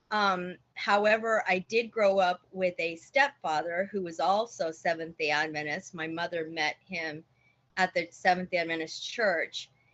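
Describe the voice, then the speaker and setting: A woman speaks with fairly even intonation. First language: Spanish. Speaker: church member giving testimony. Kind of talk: testimony. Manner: halting.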